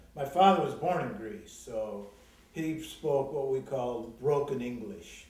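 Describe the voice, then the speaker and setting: The voice moves at a fairly slow pace with lively intonation. Audible room echo and noticeable background noise come through. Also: man, fairly high pitch for a man. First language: Greek. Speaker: interviewee recalling local history. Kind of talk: oral history interview.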